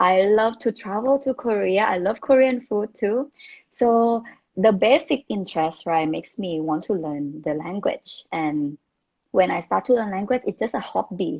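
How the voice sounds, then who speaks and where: A woman talks with a Thai accent. Her pace is moderate. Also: medium pitch for a woman, lively intonation. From Thailand, Bangkok. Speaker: former international student. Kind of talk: interview chat. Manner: halting, many fillers.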